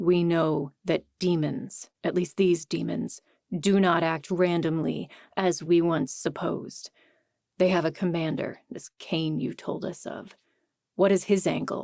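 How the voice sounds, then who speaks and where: A gruff, put-on character voice sits at a middle pitch and moves at a fairly slow pace. The recording is very clean, with a silent background. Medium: read story.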